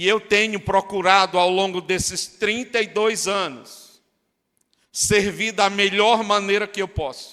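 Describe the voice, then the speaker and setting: A man speaks in a raised, projected voice at a high pitch, bright and sharp in tone. His pace is fairly slow and his intonation fairly even. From Brazil, Northeast (Fortaleza, Ceará). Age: 60s. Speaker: pastor. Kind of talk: sermon.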